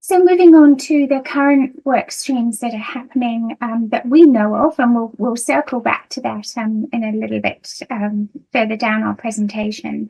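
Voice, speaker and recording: A woman's fairly high voice with a British accent, ordinary pitch variation, a moderate pace and hardly any pauses. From United Kingdom. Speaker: nursing lecturer. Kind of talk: conference presentation. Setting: video call. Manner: hesitant, many fillers.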